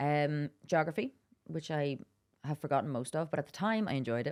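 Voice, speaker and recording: A woman with a Donegal accent and a very deep, low pitch, on a very clean recording with a silent background. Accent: Donegal Irish. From Ireland, Dublin then Wicklow and Donegal. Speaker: adventurer and campaigner. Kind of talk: podcast interview.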